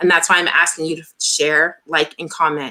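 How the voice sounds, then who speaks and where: A woman is speaking. She keeps a moderate pace. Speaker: talk show host. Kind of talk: interview.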